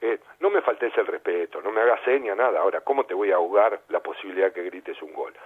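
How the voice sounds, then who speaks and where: Speaking in a Rioplatense accent, a man goes at a very fast pace with hardly any pauses. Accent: Argentine Rioplatense Spanish. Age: 60s. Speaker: sports journalist and former footballer. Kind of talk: radio interview. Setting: radio studio.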